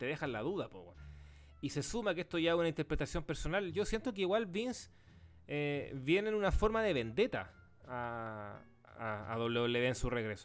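Over music in the background, a man with a Chilean accent speaks at a fairly slow pace with very wide pitch swings. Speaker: wrestling podcast host. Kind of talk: casual chat.

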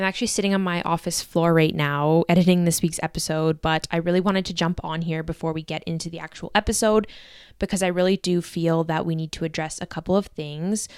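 Over a very clean recording with a silent background, a woman talks at a very fast pace with a fairly low pitch and fairly even intonation. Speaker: podcast co-host. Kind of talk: casual chat.

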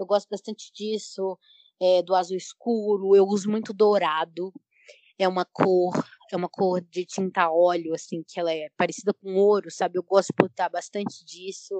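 The sound is dry and close with no echo as a woman speaks in a flat monotone. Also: medium pitch for a woman, moderate pace. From Brazil, Belo Horizonte (Minas Gerais). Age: 20s. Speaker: painter and journalism student. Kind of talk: casual panel discussion.

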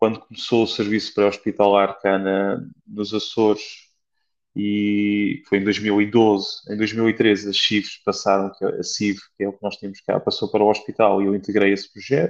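A man with a fairly low pitch speaks in monotone, flat intonation against a quiet background. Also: moderate pace. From Portugal, Beira Alta. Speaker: flight nurse. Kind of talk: interview. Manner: halting, many repetitions.

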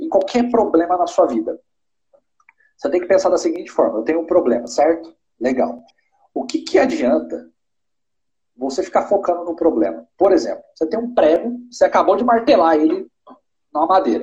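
A man speaks at a moderate pace with a high pitch and a dark, mellow tone. His pitch swings very widely, broken by long, frequent pauses. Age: 20s. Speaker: entrepreneur. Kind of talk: live-stream interview. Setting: online live stream.

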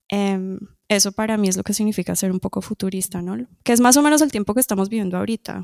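A woman talks at a very fast pace with ordinary pitch variation. The recording is very clean with a silent background and a dry, close sound without echo. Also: medium pitch for a woman. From Colombia, moved to Toronto at age 10. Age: adult. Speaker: musician. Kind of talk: interview. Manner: hesitant, many fillers.

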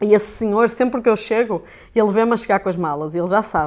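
A woman speaks in a European Portuguese accent at a medium pitch with ordinary pitch variation, in a very clean recording with a silent background. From Portugal. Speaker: sports camera operator and video editor. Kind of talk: casual chat.

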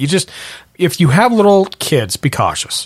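In a dry, close sound with no echo, a man with an American accent talks at a moderate pace. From Montana. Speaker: podcast host. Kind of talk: casual chat.

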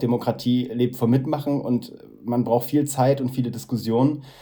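A man's voice, dark and mellow in tone. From northeastern Germany, Mecklenburg. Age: 30s. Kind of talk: interview. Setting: video call. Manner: halting.

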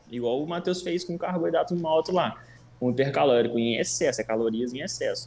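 A normal speaking voice at a moderate pace, with lively intonation. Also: man, fairly high pitch for a man. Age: 20s. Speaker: nutritionist. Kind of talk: casual chat.

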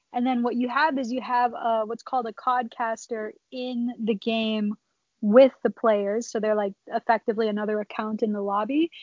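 With an unremarkable speaking voice, a woman talks at a moderate pace and a fairly high pitch, keeping her intonation fairly even. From Minnesota. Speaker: esports content director and streamer. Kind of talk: casual interview chat.

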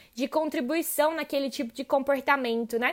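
On a very clean recording with a silent background, a woman speaks in a warm, enthusiastic tone. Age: 20s. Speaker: podcast host, logistics professional. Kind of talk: podcast monologue.

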